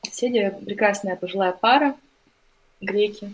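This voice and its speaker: A woman speaks at a medium pitch. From Russia, Novosibirsk. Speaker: journalist. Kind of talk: casual chat.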